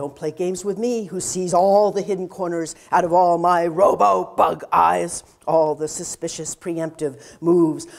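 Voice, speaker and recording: A put-on character voice at a middle pitch moves at a moderate pace with hardly any pauses. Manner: menacing, threatening.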